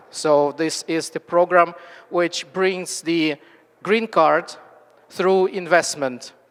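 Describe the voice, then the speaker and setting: Extremely unhurried speech amid clear background noise. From Ukraine. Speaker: immigration investment representative. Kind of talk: speech at a gala. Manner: halting.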